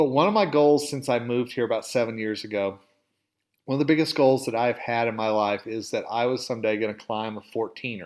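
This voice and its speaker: A man speaks with a slight Southern accent and ordinary pitch variation. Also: medium pitch for a man. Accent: slight southern drawl. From Oklahoma, US South. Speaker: podcast host, dental industry editor. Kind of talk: casual storytelling monologue. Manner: conversational, with filler words.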